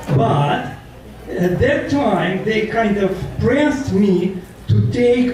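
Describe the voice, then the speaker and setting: With a Russian accent, a man speaks very slowly in a high voice, his pitch swinging very widely while his loudness stays very even. Noticeable background noise and audible room echo fill the recording. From Russia, Moscow. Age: 70s. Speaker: former Soviet nuclear physicist, public speaker. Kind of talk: talk to an audience.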